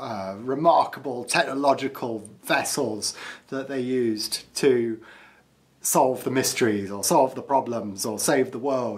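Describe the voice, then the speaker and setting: Fairly slow speech with ordinary pitch variation and big swings in loudness. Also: man. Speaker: pen reviewer. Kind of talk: casual review chat. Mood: playful, self-amused. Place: home room. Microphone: phone near.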